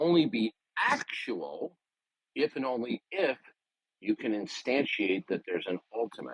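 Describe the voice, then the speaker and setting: A man at medium pitch talks at a moderate pace with vocal fry, the sound dry and close with no echo. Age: 60s. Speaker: debater. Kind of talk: heated debate. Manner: interrupting; forceful.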